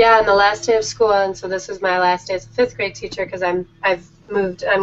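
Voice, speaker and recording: Very fast speech over music in the background. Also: woman. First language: Danish. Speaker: teacher and author. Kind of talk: interview.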